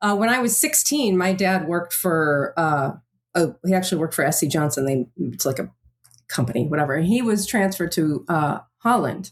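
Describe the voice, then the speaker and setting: An unremarkable speaking voice with an American accent moves at a fairly quick pace, with lively intonation and very even loudness. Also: woman, fairly low pitch for a woman. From US, partly Amsterdam as teen. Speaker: podcast host. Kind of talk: podcast interview.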